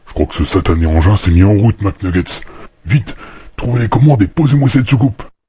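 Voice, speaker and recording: It's a cartoonish character voice with lively intonation and a deadpan tone. The pace is fairly quick. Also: man, fairly low pitch for a man. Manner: gruff, deadpan.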